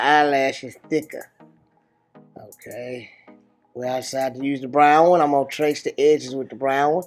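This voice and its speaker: With music in the background, a man with a fairly high pitch speaks at a moderate pace and fairly even intonation. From Africa. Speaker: father of the channel owner. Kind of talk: humorous makeup tutorial voiceover. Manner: playful, amused.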